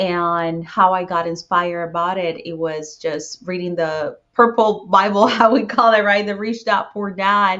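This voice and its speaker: A woman with a Spanish accent and a medium pitch speaks at a fairly slow pace with hardly any pauses and ordinary pitch variation. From Puerto Rico. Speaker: real estate investor. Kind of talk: podcast interview.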